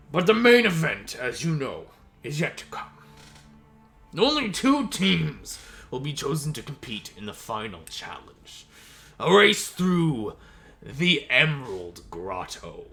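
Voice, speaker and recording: A man puts on a booming character voice with a fairly high pitch. He goes at a fairly slow pace with long, frequent pauses over music in the background. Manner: booming, proud.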